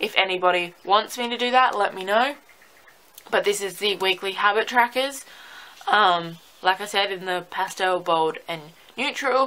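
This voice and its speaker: Here is a woman with an Australian accent. She keeps a moderate pace. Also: medium pitch for a woman, ordinary pitch variation. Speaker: planner sticker shop owner. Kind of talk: product showcase. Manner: hesitant, many fillers.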